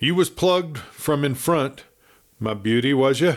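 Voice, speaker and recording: Doing a put-on character voice with a Western US accent, a man sounds gruff and hoarse, his fairly high pitch showing ordinary variation at a moderate pace. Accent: rough western frontier drawl. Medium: read story. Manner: gruff, colloquial, muttering.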